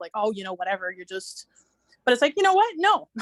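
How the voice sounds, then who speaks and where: The sound is dry and close with no echo. It is a woman speaking. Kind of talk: casual group video chat. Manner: fast; halting, many fillers.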